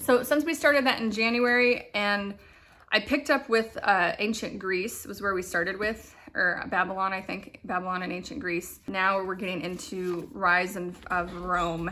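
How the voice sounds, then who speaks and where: A woman talks in an ordinary speaking voice at a moderate pace. Her pitch sits in the medium range and rises and falls in an ordinary way. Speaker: homeschool vlogger. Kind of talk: casual chat.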